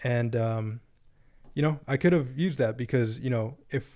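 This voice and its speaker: Recorded very cleanly against a silent background, a man talks at a moderate pace in a medium pitch with a dark, mellow tone. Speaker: day trader reviewing trades. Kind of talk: screen-share trading tutorial. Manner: casual with frequent fillers.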